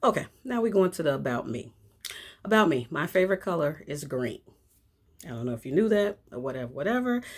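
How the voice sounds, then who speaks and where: A loud woman with an American accent speaks very fast in a fairly low pitch, her tone animated and her pitch swinging very widely. She leaves long, frequent pauses, and the recording is very clean with a silent background. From Chicago, South Side. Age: 50s. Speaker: vlogger. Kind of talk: casual chat.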